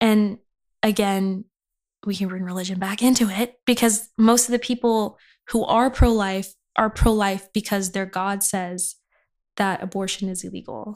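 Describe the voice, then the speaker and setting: In an American accent, a woman speaks with monotone, flat intonation on a very clean recording with a silent background. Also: medium pitch for a woman, moderate pace. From Inland Empire, Southern California. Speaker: chemistry graduate, aspiring medical student. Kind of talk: casual interview chat. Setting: in-person podcast recording. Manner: casual, filler-heavy.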